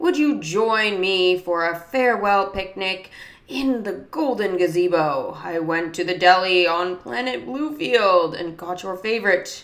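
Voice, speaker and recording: Using a put-on character voice, a woman speaks at a medium pitch with lively intonation. Her pace is fairly slow. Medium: read story. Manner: earnest, slightly awkward.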